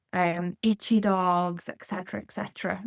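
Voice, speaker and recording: A woman speaks with a Portuguese accent. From Portugal. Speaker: canine nutrition consultant. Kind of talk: podcast interview.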